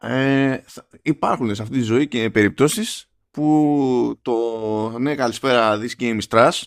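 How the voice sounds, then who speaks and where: On a very clean recording with a silent background, a man speaks at a very slow pace with fairly even intonation. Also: medium pitch for a man. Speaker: gaming podcast co-host. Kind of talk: casual chat.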